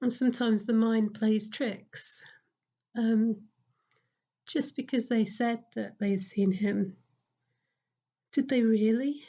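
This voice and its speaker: Somewhat breathy and fairly high-pitched, a woman speaks at a very slow pace with fairly even intonation and long, frequent pauses. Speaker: parish priest. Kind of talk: sermon. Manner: hesitant, many fillers.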